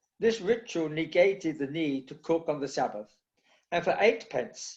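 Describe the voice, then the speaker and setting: A high-pitched man with a London accent, lively intonation and a moderate pace, against a quiet background. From East End of London. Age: 80s+. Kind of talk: talk. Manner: passionate, enthusiastic.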